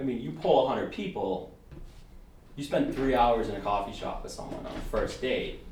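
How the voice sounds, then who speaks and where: An animated man at a moderate pace, with big swings in loudness, audible room echo and noticeable background noise. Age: 20s. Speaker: podcast guest. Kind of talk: casual chat. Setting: studio.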